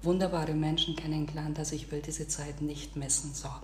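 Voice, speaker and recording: Recorded with audible room echo and noticeable background noise, a woman speaks with a Swabian accent. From Bavarian Swabia, Augsburg area. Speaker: podcast co-host. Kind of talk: casual chat.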